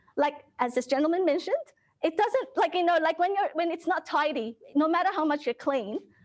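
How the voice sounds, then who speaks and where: A woman talks at a fairly quick pace with lively intonation. Her pitch is extremely high. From Philippines. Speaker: declutter professional. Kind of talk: public talk. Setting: library event with live audience.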